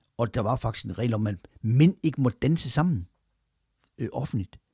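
A somewhat breathy man speaks with lively intonation in a very clean recording with a silent background and a dry, close sound with no echo. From Denmark, Randers (East Jutland). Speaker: podcast host, former sports journalist. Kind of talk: personal storytelling monologue. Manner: hesitant with fillers.

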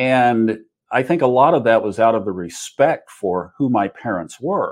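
This is a man with an American accent, speaking at a medium pitch with lively intonation against a quiet background. It's a normal speaking voice. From Oklahoma, US. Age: 60s. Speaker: astrologer and podcaster. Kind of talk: casual interview chat.

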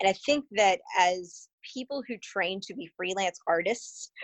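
Her pitch is medium and varies in an ordinary way. This woman talks in a plain, everyday voice. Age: 40s. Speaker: stage manager and adjunct professor. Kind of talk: casual interview chat.

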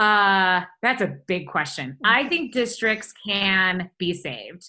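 At a fairly slow pace, a woman speaks with a bright, sharp tone. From Michigan, outside Detroit. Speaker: education nonprofit founder. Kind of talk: interview. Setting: video call.

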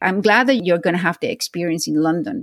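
Speaking with a Spanish accent, a woman with a fairly low pitch uses lively intonation, recorded dry and close with no echo. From Venezuela. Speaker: podcast host. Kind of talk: interview.

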